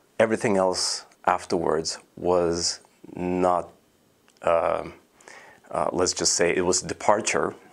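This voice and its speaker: On a very clean recording with a silent background, a man with a Russian accent speaks at a fairly slow pace in a very deep, low voice. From Russia, Moscow. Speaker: composer. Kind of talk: interview. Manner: hesitant, many fillers.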